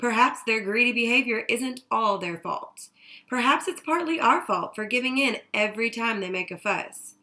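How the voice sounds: Ordinary pitch variation within a natural reading voice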